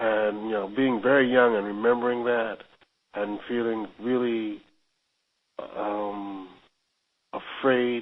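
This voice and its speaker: A man's medium-pitched, monotone, flat delivery at a very slow pace, broken by long, frequent pauses. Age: 60s. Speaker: interviewee, married groom. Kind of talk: interview. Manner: halting.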